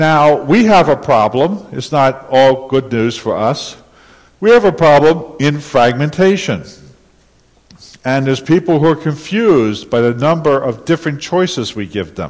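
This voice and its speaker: With lively intonation and a moderate pace, a man talks in an ordinary speaking voice. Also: fairly high pitch for a man. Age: 60s. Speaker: conference speaker. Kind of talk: conference talk.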